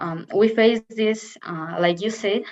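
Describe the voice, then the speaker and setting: A woman with a Spanish accent talks at a medium pitch and a fairly slow pace. Her pitch varies in an ordinary way. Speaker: university student. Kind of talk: Q&A. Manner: halting.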